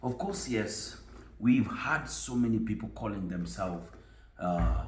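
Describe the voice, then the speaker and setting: Amid audible room echo and noticeable background noise, a man with a Kenyan accent speaks in a calm tone at a fairly slow pace. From Kenya, Kisumu. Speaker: tv host. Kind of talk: interview.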